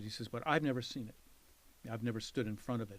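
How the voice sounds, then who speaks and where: His pitch fairly low, a man rattles along at a very fast speed. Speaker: art professor. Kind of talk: oral history interview. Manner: hesitant, with fillers and restarts.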